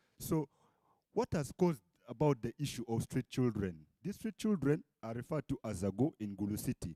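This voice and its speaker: In a normal speaking voice, a man talks at a moderate pace. His pitch is medium, with lively intonation. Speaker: law student. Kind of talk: research presentation. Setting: conference stage with audience.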